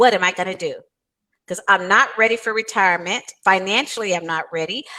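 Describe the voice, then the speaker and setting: Her tone is bright and sharp, at medium pitch for a woman. She speaks at a fairly quick pace with ordinary pitch variation. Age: 60s. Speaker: author and financial coach. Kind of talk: interview.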